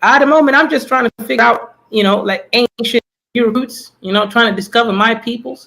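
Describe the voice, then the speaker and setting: A man projects a raised voice at an extremely high pitch, with a bright, sharp tone and fairly even intonation. He keeps a moderate pace, and the sound is dry and close with no echo. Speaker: caller on a livestream panel. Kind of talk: casual chat.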